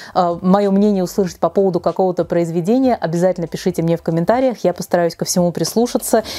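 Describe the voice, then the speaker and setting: A woman with a dark, mellow tone talks at a very fast pace with hardly any pauses and ordinary pitch variation. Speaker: book blogger. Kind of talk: casual vlog chat. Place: home room. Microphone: lapel.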